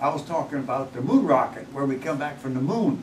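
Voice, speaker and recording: There is noticeable background noise. A man speaks in a fairly high pitch. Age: 80s+. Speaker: retired NASA engineer. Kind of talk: interview answer.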